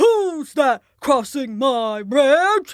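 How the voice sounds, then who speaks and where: Loud and bellowing, the put-on character voice rings out at a high pitch on a very clean recording with a silent background. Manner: roaring, angry.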